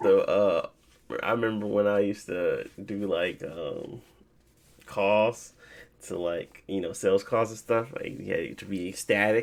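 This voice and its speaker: A man's unremarkable speaking voice, fairly low in pitch, at a fairly slow pace with fairly even intonation. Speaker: podcast host. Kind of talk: casual chat.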